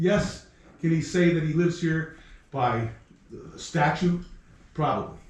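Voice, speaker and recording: Loud and high-pitched, a man speaks at a fairly slow pace amid audible room echo. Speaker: resident speaking at public comment. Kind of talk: heated public comment at town meeting. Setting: town board meeting. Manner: animated.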